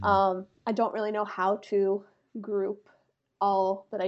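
A woman with an American accent speaks at a fairly slow pace and a medium pitch. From US Northeast, small-town Pennsylvania. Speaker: digital creator. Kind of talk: casual chat.

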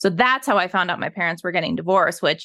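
This woman talks at a fairly quick pace in an American accent, her pitch medium with ordinary variation. Her tone is bright and sharp, and the recording is very clean with a silent background. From Colorado, US. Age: 30s. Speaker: trauma survivor sharing her story. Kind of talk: casual interview conversation.

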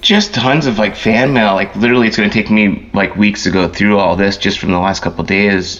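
Against noticeable background noise, a man with an American accent speaks at a fairly quick pace and fairly low pitch, with hardly any pauses, ordinary pitch variation and very even loudness. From US Northeast, Philadelphia. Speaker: surf photographer. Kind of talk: interview.

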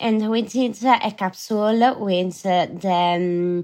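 Fairly even intonation marks this Italian-accented voice on a very clean recording with a silent background. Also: woman. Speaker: fashion brand co-founder. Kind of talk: interview. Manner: halting.

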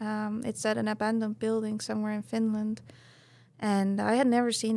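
A woman at a moderate pace with an Estonian accent. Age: 30s. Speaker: professional snowboarder. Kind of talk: casual interview. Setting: studio with live audience.

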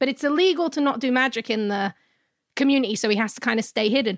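A woman with a London accent is heard on a very clean recording with a silent background. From London, England. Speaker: pop culture podcast co-host. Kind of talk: casual chat.

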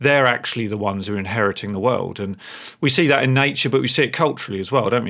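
A man speaks very fast in an English accent. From England. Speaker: listener with a question. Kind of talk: recorded voicemail question.

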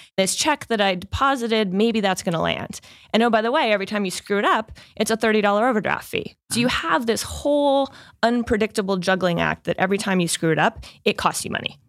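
A woman with a plain, everyday voice speaks fairly quickly at a medium pitch, with ordinary pitch variation. Her loudness stays very even, and the sound is dry and close with no echo. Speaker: venture capital investor in fintech. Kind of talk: interview.

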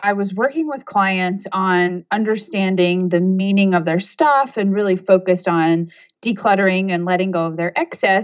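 A woman has an unremarkable speaking voice with a medium pitch and a moderate pace. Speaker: organizational coach. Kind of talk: casual interview chat. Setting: phone or video call.

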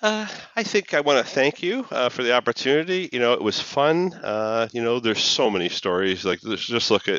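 A man with a Canadian accent speaks at a medium pitch and a moderate pace. His pitch swings very widely, with hardly any pauses. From Canada, Toronto. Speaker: accessibility technology manager. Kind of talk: casual chat.

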